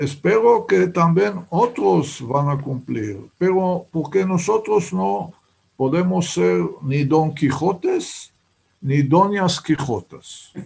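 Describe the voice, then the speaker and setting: Speaking at a very slow pace with a Hebrew accent, a man uses a fairly high pitch and very wide pitch swings. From Israel, Haifa. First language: Hebrew (speaking Spanish). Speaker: writer. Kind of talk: interview. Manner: halting.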